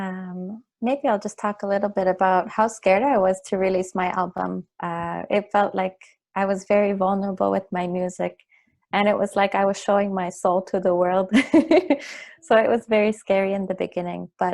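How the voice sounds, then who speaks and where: A woman speaks at a medium pitch over a quiet background. Her intonation is monotone and flat. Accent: Canadian Arctic. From Nunavut, Canada (Pangnirtung). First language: Inuktitut. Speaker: singer-songwriter. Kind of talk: interview.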